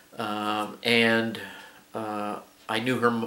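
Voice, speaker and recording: A man talks at a medium pitch with fairly even intonation and a bright, sharp tone. The room gives an audible echo. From New Mexico. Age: 60s. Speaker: hobby shop owner, YouTuber. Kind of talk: casual video introduction. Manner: halting, many fillers.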